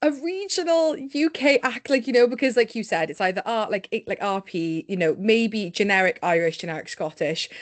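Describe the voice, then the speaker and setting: With a Cardiff accent, a woman talks in a fairly high pitch with very wide pitch swings, recorded with a dry, close sound with no echo against a quiet background. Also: hardly any pauses. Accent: Welsh (Cardiff). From Wales, Cardiff. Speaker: podcast host. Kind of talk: casual interview chat. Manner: fast, animated.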